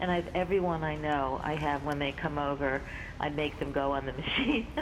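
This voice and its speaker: The recording carries an audible room echo. Noticeable background noise runs underneath. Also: woman, very deep, low pitch for a woman, moderate pace. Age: 60s. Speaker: caller. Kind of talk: testimony. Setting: phone call. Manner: animated.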